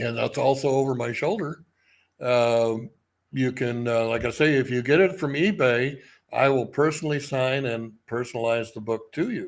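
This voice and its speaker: In an American accent, a man talks in an unremarkable speaking voice at a moderate pace and medium pitch, with ordinary pitch variation, on a very clean recording with a silent background. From US Midwest. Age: 60s. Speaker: book publisher. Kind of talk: casual chat.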